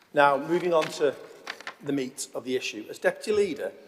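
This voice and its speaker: With clear background noise behind him, a man talks at a moderate speed. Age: 50s. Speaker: deputy council leader. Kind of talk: council debate speech. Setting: council chamber.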